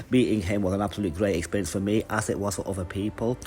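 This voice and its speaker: Noticeable background noise accompanies a man with an English accent. He talks at a very fast pace and a fairly low pitch. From England, Manchester. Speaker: YouTuber reviewing comic conventions. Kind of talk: casual vlog review. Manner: casual, with many fillers.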